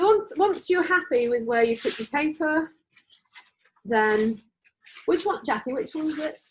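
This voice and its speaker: At a moderate pace, a woman with an English accent talks at a high pitch, with very wide pitch swings and long, frequent pauses. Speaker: art teacher. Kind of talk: class instruction. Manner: loud; casual, hesitant.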